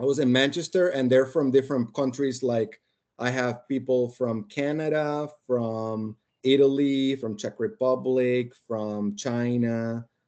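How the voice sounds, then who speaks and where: Using a fairly slow pace, a man with a Spanish accent speaks in a dark, mellow tone. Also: medium pitch for a man. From Colombia, Barranquilla (Caribbean coast). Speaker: podcast guest, engineering team lead. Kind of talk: casual chat, storytelling. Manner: animated.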